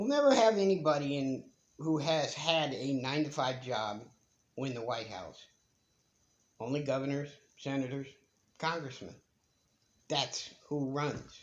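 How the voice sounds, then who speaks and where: A man talks at a fairly slow pace with long, frequent pauses. His pitch is fairly high, with ordinary pitch variation. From United States. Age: 60s. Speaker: retiree vlogger. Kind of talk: casual monologue. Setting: bedroom at home.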